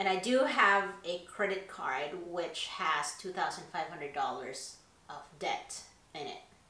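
A woman speaks at a very slow pace, with audible echo from the room. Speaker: YouTuber; YouTube style vlogger. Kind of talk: personal confession vlog. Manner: hesitant, many fillers. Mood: candid, reflective. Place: home room.

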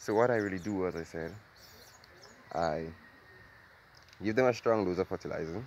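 A man speaks at a moderate pace in a low voice with a slightly mellow tone and ordinary pitch variation.

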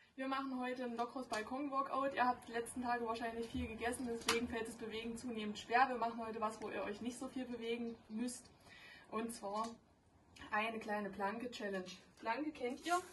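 A woman speaks at a fairly quick pace with fairly even intonation. There is light background noise. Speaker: fitness instructor. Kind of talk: workout tutorial. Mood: playful, joking. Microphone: camera far.

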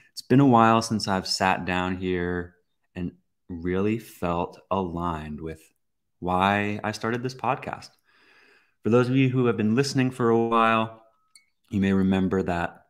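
The speaker keeps a moderate pace with long, frequent pauses and ordinary pitch variation over a quiet background. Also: man, fairly low pitch for a man. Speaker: podcast host. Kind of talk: casual podcast monologue. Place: home room.

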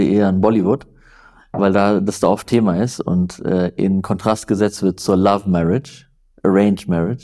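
At a moderate pace, a dark, mellow tone comes through with fairly even intonation over a quiet background. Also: man. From northern Germany, near Flensburg; Germany. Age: 30s. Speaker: journalist; journalist guest. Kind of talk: interview conversation. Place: home room. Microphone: lapel.

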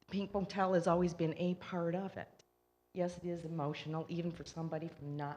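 Music plays in the background as a woman speaks at a fairly quick pace with a Michigan accent. Her pitch is very deep and low, her intonation fairly even. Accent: non-Southern, Michigan. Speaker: resident speaking at public comment. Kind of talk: public comment at council meeting.

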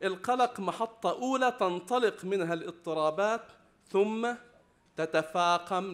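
Very slow in pace, a man's voice carries lively intonation. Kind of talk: lecture. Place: hall. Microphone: podium.

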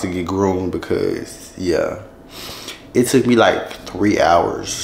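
A man speaks with audible room echo. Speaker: vlogger. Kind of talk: casual vlog chat. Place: home room. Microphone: camera far.

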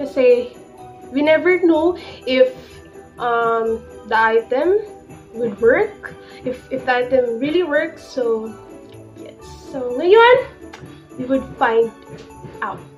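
Big swings in loudness, a very slow pace and long, frequent pauses, with faint music in the background. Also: woman, high pitch for a woman. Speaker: vlogger. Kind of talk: casual vlog chat. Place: home room. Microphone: phone near.

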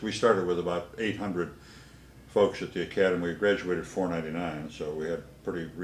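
At a very deep, low pitch, a man talks fairly quickly in a monotone, flat intonation, with audible room echo and light background noise. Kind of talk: interview answer. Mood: proud, reflective. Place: studio.

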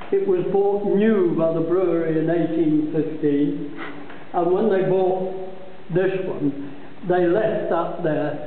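A man with a high-pitched voice talks at a very slow pace with hardly any pauses and a fairly even intonation. The recording has audible room echo and light background noise. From Scotland. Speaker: brewery tour guide. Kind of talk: guided tour explanation. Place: factory. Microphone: phone near.

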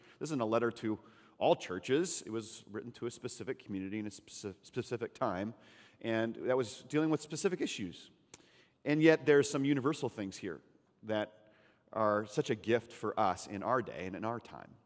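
A man's voice with big swings in loudness over a quiet background. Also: moderate pace. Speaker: pastor. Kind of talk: sermon. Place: church. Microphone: headset.

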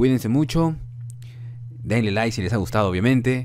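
Audible room echo surrounds the speaker, a man. His intonation is lively. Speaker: YouTuber. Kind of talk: casual vlog talk.

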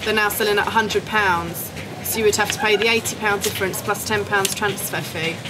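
A woman talks at a moderate pace. Background noise is noticeable. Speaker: airline sales desk agent. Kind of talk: customer service explanation. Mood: polite, firm. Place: station.

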